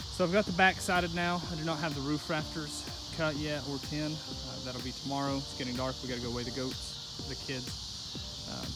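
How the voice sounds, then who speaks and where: A man's voice with ordinary pitch variation and hardly any pauses, in a dry sound with no echo, with music in the background. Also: moderate pace. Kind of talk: casual DIY vlog narration. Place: garden. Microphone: phone near.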